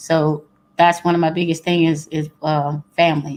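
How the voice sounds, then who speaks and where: A woman with a Louisiana accent speaks in a fairly low pitch and a flat monotone, on a very clean recording with a silent background. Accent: Louisiana Southern US. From Louisiana, Baton Rouge. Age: 40s. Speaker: guest. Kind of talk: casual chat.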